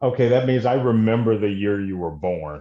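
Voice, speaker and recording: Dark, mellow tone from a man with a Southern US accent, medium in pitch, with very wide pitch swings. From Mississippi. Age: 40s. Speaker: podcast host. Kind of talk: casual interview.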